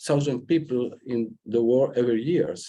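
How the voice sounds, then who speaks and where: A man speaks at a fairly slow pace in a dark, mellow tone with a non-native accent and ordinary pitch variation. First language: Spanish. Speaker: senator. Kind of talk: panel remarks. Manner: halting.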